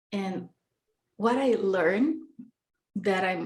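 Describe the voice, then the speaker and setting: A woman speaks at a medium pitch with a Brazilian Portuguese accent. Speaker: podcast guest. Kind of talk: casual interview chat. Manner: halting.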